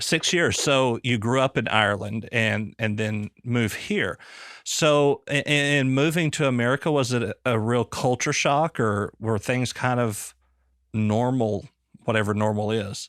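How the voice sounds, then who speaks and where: Speaking with a Southern US accent, a man talks at a fairly slow pace and a medium pitch, with ordinary pitch variation and very even loudness. The recording is very clean, with a silent background and a dry, close sound with no echo. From US South. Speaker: podcast host, former police officer. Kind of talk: casual interview chat. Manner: halting.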